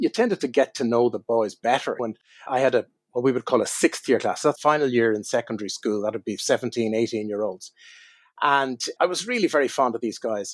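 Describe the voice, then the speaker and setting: A man talks at a fairly quick pace in a medium-pitched voice with ordinary pitch variation. The sound is dry and close, with no echo. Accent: Irish. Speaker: wine writer. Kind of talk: interview storytelling.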